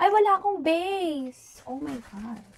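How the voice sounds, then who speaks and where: A woman talks with very wide pitch swings. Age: 20s. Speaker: beauty vlogger. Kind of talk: casual unboxing vlog. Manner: animated.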